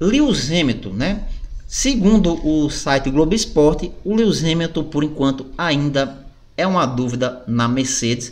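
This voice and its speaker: Audible room echo surrounds a man with a fairly high pitch. He talks at a fairly slow pace with lively intonation. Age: 40s. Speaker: gaming YouTuber. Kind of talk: casual video commentary.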